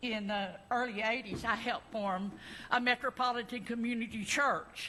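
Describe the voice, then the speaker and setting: In an Arkansas accent, a woman speaks at a fairly high pitch with a bright, sharp tone and audible room echo. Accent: Southern US (Arkansas). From US South, Arkansas (Little Rock). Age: 70s. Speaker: congregation member. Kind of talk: personal testimony. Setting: church service. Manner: halting, many fillers.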